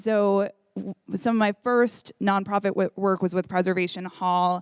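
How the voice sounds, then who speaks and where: In a very clean recording with a silent background and a dry, close sound free of echo, a woman of medium pitch speaks with fairly even intonation. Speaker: nonprofit music education leader. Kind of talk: panel discussion. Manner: loud.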